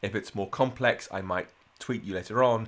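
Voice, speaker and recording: The man's voice sits at a medium pitch. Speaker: programming instructor. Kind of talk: live coding tutorial. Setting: livestream. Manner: fast.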